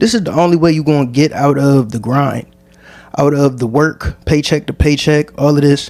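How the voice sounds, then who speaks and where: Music plays in the background as a man talks with an American accent. His pitch is fairly high. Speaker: podcast host. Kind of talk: solo podcast monologue. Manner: casual.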